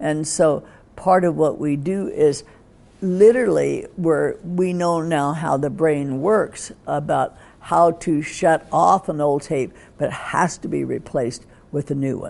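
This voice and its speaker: A woman with an American accent speaks at a fairly slow pace in a very deep, low voice. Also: ordinary pitch variation. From US. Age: 80s. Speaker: psychotherapist and author. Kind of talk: interview.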